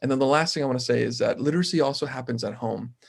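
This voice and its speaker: A man with a medium pitch speaks in fairly even intonation, with vocal fry. The recording is very clean, over a silent background. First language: Spanish. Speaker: mayoral candidate, city council member. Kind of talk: panel Q&A answers.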